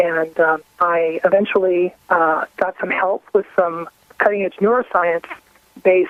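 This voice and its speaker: With an American accent, a woman talks at a medium pitch in an ordinary speaking voice. Her intonation is fairly even. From New Orleans, US South. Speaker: mother telling health story. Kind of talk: radio interview testimony.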